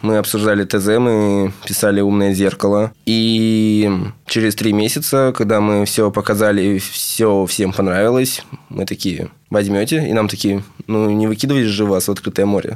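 A man speaks in a normal speaking voice with a fairly low pitch. His pace is moderate, his intonation fairly even, and his loudness very even. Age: 20s. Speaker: student software developer. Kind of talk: casual chat. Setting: studio.

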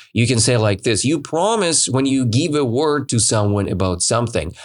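A man with a Russian accent speaks at a medium pitch in an energetic, enthusiastic tone. His intonation is lively. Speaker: English teacher and podcast host. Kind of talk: language lesson storytelling; event announcement.

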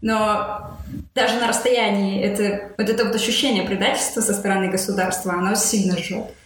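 A woman at a medium pitch and moderate pace, with monotone, flat intonation, very even loudness, audible room echo and noticeable background noise. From Russia. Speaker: author of a book on emigration. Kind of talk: interview. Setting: remote call from California.

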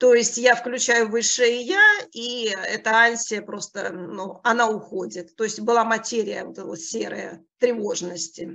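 A woman speaks in a normal speaking voice at a fairly slow pace, her fairly high pitch showing ordinary variation while her loudness swings widely. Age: 50s. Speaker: coaching school student. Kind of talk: testimony.

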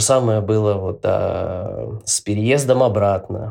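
A fairly slow pace amid noticeable background noise. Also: man. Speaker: podcast host, guest here. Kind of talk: casual chat. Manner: hesitant, many fillers.

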